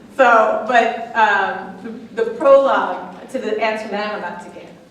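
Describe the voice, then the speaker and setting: Over noticeable background noise, a woman speaks at a fairly slow pace with a fairly high pitch. Her intonation is fairly even, with big swings in loudness. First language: not English. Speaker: lecturer. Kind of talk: lecture Q&A answer. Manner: halting, many fillers.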